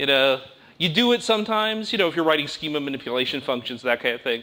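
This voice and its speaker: A loud man with an American accent speaks in a bright, sharp tone. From United States. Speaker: conference speaker. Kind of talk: technical talk. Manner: fast.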